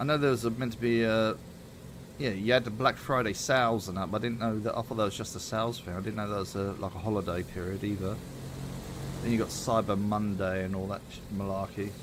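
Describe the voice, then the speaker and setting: A man with a British accent, fairly low in pitch, at a very fast pace and with fairly even intonation. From Britain. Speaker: gaming streamer. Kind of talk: casual chat.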